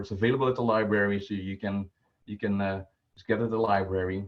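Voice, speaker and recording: A man with a Dutch accent speaks at a very fast pace. His pitch is fairly low and his intonation is a flat monotone. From Netherlands. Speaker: volunteer personal finance presenter. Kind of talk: online presentation. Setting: video call. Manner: halting, many filler words. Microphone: poor stream quality.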